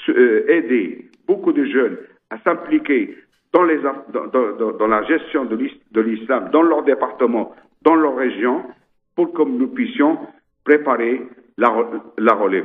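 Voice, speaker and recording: A man's fairly high voice, very slow and broken by long, frequent pauses, with lively intonation. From Ceuta, Spanish North Africa. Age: 70s. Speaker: mosque rector. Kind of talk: interview. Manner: halting, many repetitions.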